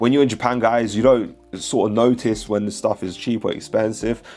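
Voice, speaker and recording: A man talks at a fairly quick pace in a medium pitch with ordinary pitch variation. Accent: British. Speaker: Pokemon card collector vlogger. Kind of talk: casual chat; vlog voiceover narration. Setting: inside a card shop in Tokyo.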